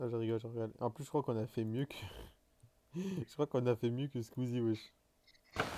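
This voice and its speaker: Recorded dry and close with no echo, a man at medium pitch with a dark, mellow tone speaks at a fairly quick pace with ordinary pitch variation and long, frequent pauses. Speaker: gaming streamer. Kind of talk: live gaming stream chat. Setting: online voice chat while streaming. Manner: animated.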